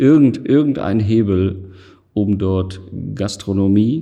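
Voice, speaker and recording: A man's very slow, fairly low-pitched voice with a dark, mellow tone. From Essen, Ruhr area, Germany. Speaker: gallery owner. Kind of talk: interview.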